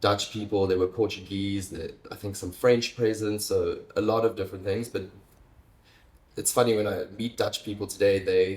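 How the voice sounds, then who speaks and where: Somewhat breathy and fairly low-pitched, a man speaks at a moderate pace in a monotone, flat intonation. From South Africa, Stellenbosch, Western Cape. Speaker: interview guest. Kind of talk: casual conversation. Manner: halting, many fillers and restarts.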